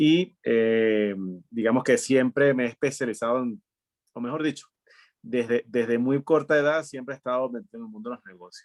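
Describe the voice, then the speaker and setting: In an ordinary speaking voice, a man talks at a moderate pace and medium pitch with ordinary pitch variation and big swings in loudness, captured in a dry, close sound with no echo. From Venezuela (Maturín, studied in Caracas). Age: 40s. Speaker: entrepreneur. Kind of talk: interview conversation.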